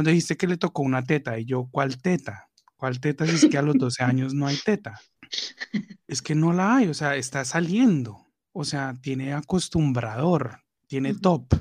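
At a moderate pace, a man talks in a plain, everyday voice with a fairly high pitch and ordinary pitch variation. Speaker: podcast co-host. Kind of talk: casual chat.

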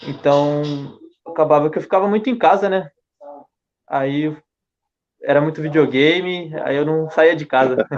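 A man's fairly high voice with ordinary pitch variation and long, frequent pauses. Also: fairly slow pace. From Japan (Brazilian raised in Ibaraki). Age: young. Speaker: young footballer. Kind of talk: casual chat.

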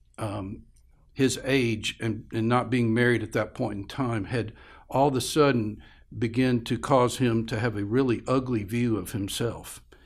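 An unremarkable speaking voice belongs to a man at medium pitch. He talks fairly slowly with fairly even intonation. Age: 60s. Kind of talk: interview conversation. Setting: studio.

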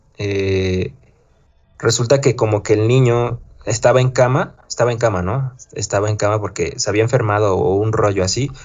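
Somewhat breathy and medium-pitched, a man speaks at a moderate pace with fairly even intonation. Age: 20s. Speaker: podcast host. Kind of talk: casual chat.

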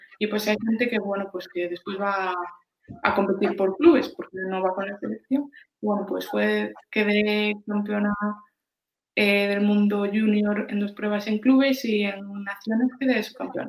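With fairly level intonation, an unremarkable speaking voice proceeds fairly slowly. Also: woman, medium pitch for a woman. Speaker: lifesaving athlete. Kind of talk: interview.

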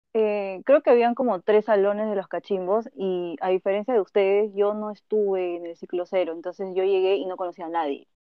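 A woman with a plain, everyday voice talks at a medium pitch and a fairly quick pace, with hardly any pauses. Her pitch varies in an ordinary way, and her loudness swings widely. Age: 20s. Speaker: veterinarian. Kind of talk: casual chat.

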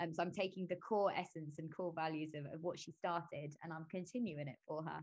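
Speaking with a London accent at a fairly quick pace, this voice runs on with hardly any pauses and keeps a fairly even intonation. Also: woman, fairly low pitch for a woman. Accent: London English, can do northern accents. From London, England. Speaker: actress. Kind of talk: casual interview chat.

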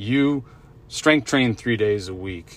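A man with an ordinary speaking voice talks at a fairly slow pace and medium pitch. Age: 40s. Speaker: health coach and podcast host. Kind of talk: solo podcast monologue. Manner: casual, many fillers and repetitions.

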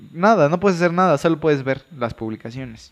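A man has a plain, everyday voice with ordinary pitch variation. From Veracruz, Mexico. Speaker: podcast co-host, medical student. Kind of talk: casual chat.

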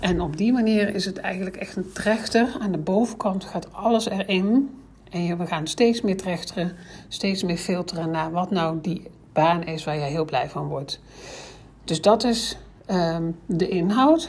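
A somewhat breathy woman speaks at a medium pitch and a fairly slow pace, with ordinary pitch variation. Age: 50s. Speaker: career coach. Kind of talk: solo podcast explainer.

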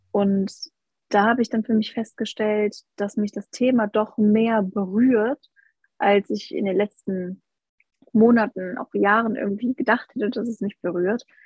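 A somewhat breathy woman's voice, fairly high-pitched, with fairly even intonation at a fairly slow pace. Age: 20s. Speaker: health coach. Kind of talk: casual chat.

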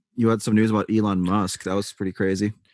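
In a very clean recording with a silent background, a man with a fairly low pitch and ordinary pitch variation speaks in an ordinary speaking voice, the sound dry and close with no echo. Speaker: podcast host. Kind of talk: casual chat. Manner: casual, chatty.

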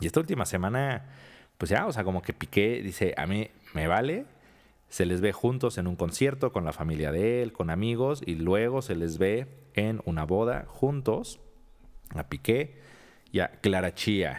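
With a Mexican accent, a man speaks at a fairly slow pace in a fairly low pitch with lively intonation. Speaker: podcast co-host. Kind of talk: casual chat.

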